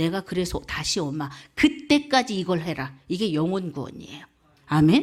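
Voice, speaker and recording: A woman with a Jeolla accent speaks at a medium pitch and a moderate pace. Her pitch swings very widely, and the recording is very clean with a silent background. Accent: Jeolla dialect intonation. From South Korea, South Jeolla (Muan). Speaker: evangelist. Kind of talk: sermon.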